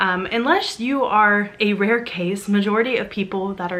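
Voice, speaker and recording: A woman with an American accent speaks at medium pitch with fairly even intonation. Audible room echo surrounds her voice. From US South, Arkansas. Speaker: witchcraft content creator. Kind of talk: personal storytelling vlog.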